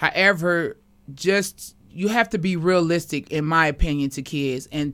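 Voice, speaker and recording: A woman with an American accent speaks in an unremarkable speaking voice, her fairly low pitch carried by lively intonation on a very clean recording with a silent background. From Kansas City, Missouri. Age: 40s. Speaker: community activist. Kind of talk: radio interview.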